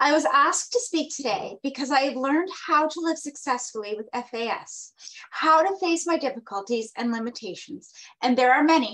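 A woman's high voice, lively in intonation, at a moderate pace over a quiet background. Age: 30s. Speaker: advocate for people with fetal alcohol disorders; conference presenter. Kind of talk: prepared talk read from notes. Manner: reading from notes. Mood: earnest, personal. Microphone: webcam.

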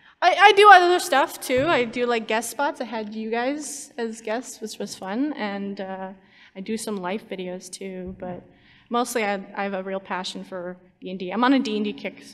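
A woman with a fairly high voice speaks at a moderate pace, her loudness swinging widely. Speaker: YouTube animator. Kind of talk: convention panel talk. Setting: stage with audience. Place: hall. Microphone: podium.

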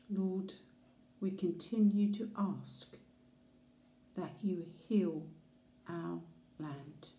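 A woman with a dark, mellow, somewhat breathy tone speaks at a very slow pace with fairly even intonation and long, frequent pauses, and the room echo is audible. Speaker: prayer leader. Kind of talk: fervent intercessory prayer. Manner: earnest, reverent; warm, heartfelt pleading. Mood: calm, earnest, prayerful. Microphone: phone near.

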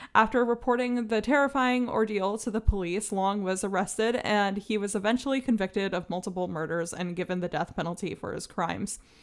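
Talking at a fairly quick pace with hardly any pauses, a woman with an unremarkable speaking voice keeps a medium pitch and ordinary pitch variation. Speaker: podcast co-host. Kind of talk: casual chat.

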